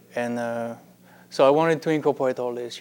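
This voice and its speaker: A man at medium pitch with a French accent. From France. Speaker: pastry chef. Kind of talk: interview. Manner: halting, with many fillers.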